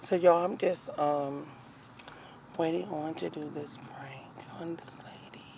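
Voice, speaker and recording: A woman whispers at a fairly slow pace with long, frequent pauses and big swings in loudness, over noticeable background noise and audible room echo. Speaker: vlogger. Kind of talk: casual vlog chat. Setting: in a car. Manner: whispering.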